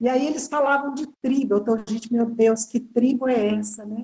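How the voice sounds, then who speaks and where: Her tone is dark and mellow. The woman speaks at a moderate pace in a fairly high pitch. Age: 70s. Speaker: English teacher. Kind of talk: interview testimony. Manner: halting, many fillers.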